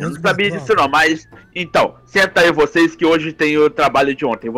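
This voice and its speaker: A man puts on a hoarse character voice at a fairly high pitch. His pace is moderate, with ordinary pitch variation. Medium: machinima. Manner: strict, businesslike.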